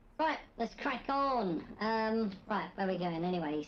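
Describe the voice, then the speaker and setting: A squeaky, put-on character voice at a fairly high pitch and moderate pace, over light background noise. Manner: silly, comedic.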